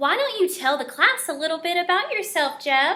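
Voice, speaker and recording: A squeaky, put-on character voice moves at a moderate pace. Its pitch swings very widely. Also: woman. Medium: read story.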